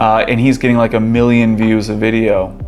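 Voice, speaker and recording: Music plays in the background as a man at a medium pitch speaks amid audible room echo. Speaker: channel host, online commentator. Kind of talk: casual monologue.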